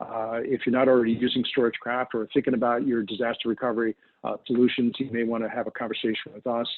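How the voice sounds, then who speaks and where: A man talks at a fairly quick pace in a New York accent. His medium-pitched voice stays monotone and flat. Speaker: data protection specialist. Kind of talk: webinar presentation. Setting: online webinar. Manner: fast.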